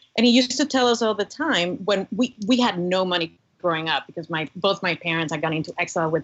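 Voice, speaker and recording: A woman speaks with a Cuban American accent. Her pace is moderate. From US, Cuban-German family. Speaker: former government commissioner, religious freedom advocate. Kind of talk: podcast interview.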